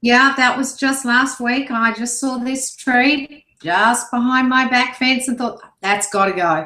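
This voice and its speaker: A woman with a Sydney accent at a high pitch, fairly slow pace with hardly any pauses, and ordinary pitch variation. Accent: Sydney Australian. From Australia, Sydney. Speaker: internet marketer. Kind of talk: casual video interview.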